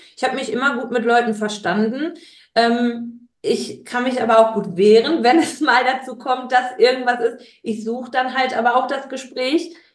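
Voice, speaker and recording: A woman with a high voice speaks at a moderate pace. There is audible room echo. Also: ordinary pitch variation. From Ruhr area, Germany (Gelsenkirchen). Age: 30s. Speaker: guest, childcare worker. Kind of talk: interview.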